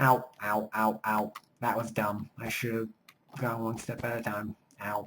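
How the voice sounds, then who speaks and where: A quiet man at a fairly slow pace, his intonation monotone and flat. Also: medium pitch for a man. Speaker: gaming let's play commentator. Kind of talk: casual gameplay commentary. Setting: home recording at night. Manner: quiet, subdued volume.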